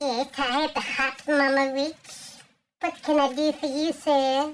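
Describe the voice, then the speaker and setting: In a put-on character voice, a female-sounding speaker talks at a high pitch, fairly slowly, with monotone, flat intonation. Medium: solo performance.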